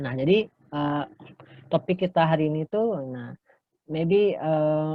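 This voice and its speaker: The man's voice sits at a fairly high pitch. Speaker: English lecturer. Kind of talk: lecture. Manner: bilingual, frequent fillers.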